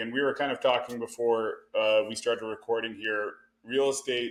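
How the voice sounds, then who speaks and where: A man speaks at a fairly quick pace with a Canadian accent and a medium pitch. His is an unremarkable speaking voice. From Canada. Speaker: real estate investor. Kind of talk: podcast interview. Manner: filler-heavy, conversational.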